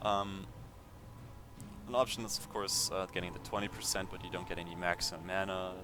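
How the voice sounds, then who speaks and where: A very fast man's voice, very deep and low, with fairly even intonation over music in the background. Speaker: video game youtuber. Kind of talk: gameplay build tutorial. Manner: hesitant with many fillers.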